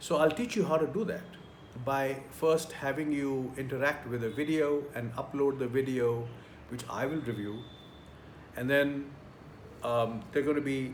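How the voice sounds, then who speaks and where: Audible room echo around a man's fairly high voice, fairly slow in pace, with ordinary pitch variation. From India. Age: 60s. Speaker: career trainer. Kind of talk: tutorial.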